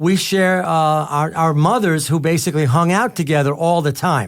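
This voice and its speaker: In a very clean recording with a silent background, a man speaks with a fairly high pitch. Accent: New York. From New York, Staten Island. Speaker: radio talk show host. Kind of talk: radio interview.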